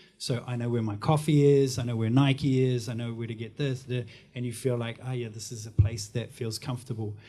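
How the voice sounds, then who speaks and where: A man with a New Zealand accent speaks in a dark, mellow tone at a medium pitch, with monotone, flat intonation. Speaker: marketing and branding professional. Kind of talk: panel discussion.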